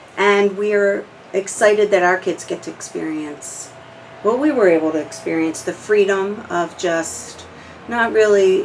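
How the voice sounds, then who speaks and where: Noticeable background noise accompanies a woman talking at a medium pitch. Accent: American. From New Jersey (Audubon). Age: 40s. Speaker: oral history interviewee. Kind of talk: casual reminiscing interview.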